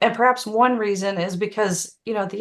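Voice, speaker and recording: The speaker has a Tennessee accent, heard against a quiet background. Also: woman. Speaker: author. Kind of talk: Q&A on a video call. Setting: Zoom video call.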